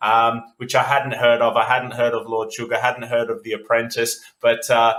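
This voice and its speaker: Bright and sharp in tone, a man speaks with an Australian accent. His medium-pitched delivery is monotone and flat. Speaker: entrepreneur, agency CEO. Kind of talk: podcast interview.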